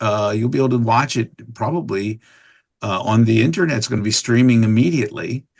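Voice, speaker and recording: A man uses an ordinary speaking voice, talking fairly quickly, and his pitch varies in an ordinary way. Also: medium pitch for a man. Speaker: voice actor. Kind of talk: podcast interview answer. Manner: casual, chatty.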